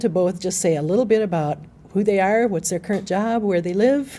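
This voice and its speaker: A woman's dark, mellow tone at medium pitch, with ordinary pitch variation and a fairly quick pace. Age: 60s. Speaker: documentary producer. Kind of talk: panel discussion.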